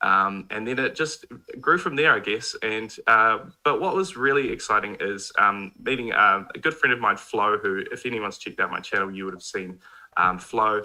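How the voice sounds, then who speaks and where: Lively intonation and a bright, sharp tone mark a man's medium-pitched voice at a moderate pace. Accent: New Zealand. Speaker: mobile game YouTuber. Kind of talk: casual chat. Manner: quiet.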